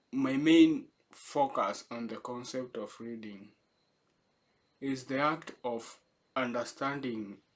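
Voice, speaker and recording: A very slow-paced male speaker with a medium pitch. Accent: Kenyan. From Kenya. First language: not English; English is third language. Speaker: vlogger / essay writer. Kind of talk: casual unscripted reflection. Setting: home in the city. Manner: halting, many false starts.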